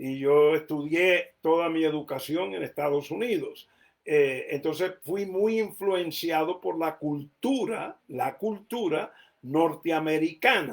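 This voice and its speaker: The pace is very slow. The intonation is lively. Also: man, fairly high pitch for a man. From United States. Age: adult. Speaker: preacher. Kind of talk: sermon.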